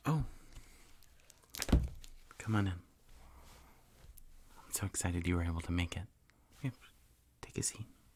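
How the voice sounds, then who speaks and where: Whispering and soft-spoken, a man talks at a fairly slow pace with a somewhat breathy sound and long, frequent pauses. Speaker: dungeon master / ASMR host. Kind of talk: ASMR roleplay, tabletop game character creation. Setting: studio, close mic with typing and page flipping. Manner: soft-spoken, whispering.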